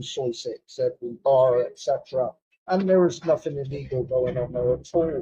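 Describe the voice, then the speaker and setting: A man's dark, mellow tone with a British accent, at a fairly slow pace. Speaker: psychotherapist; British Army veteran. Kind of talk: casual talk to camera. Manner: hesitant, many fillers.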